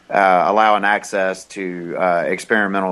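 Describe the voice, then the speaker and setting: A man speaks with a Southern US accent. His very deep, low voice stays monotone and flat. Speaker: regular podcast guest. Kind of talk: casual political discussion.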